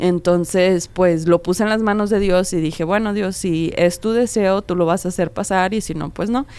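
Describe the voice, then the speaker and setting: A woman's normal speaking voice at medium pitch, with fairly even intonation and hardly any pauses. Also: moderate pace. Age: young. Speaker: podcast co-host. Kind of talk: casual chat.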